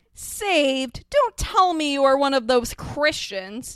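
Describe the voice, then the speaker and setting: Doing a gravelly put-on character voice, a woman speaks at a high pitch and a fairly slow pace. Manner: scornful, incredulous.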